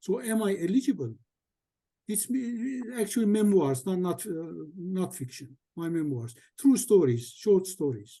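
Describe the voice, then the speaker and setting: A high-pitched man with an Armenian accent, very wide pitch swings and a fairly slow pace. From Syria, Aleppo. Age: 70s. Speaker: memoir writer, attendee asking questions. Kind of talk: Q&A question in a video call. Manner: halting, hesitant.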